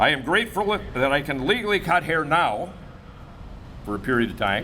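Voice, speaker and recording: A man with an American accent speaks at a moderate pace with lively intonation. Noticeable background noise and audible room echo are present. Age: 70s. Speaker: barber. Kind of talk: press conference statement. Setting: press conference.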